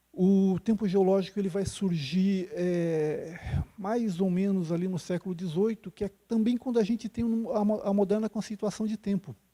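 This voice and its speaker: Soft-spoken and high-pitched, a man speaks at a moderate pace in a dry, close sound with no echo. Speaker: geology professor. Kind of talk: lecture. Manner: halting, many fillers. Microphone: quiet on the microphone.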